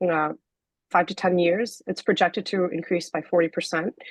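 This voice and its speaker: A woman's shaky voice, fairly low in pitch, moves at a moderate pace. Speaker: scientist. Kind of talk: lecture. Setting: video call. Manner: halting.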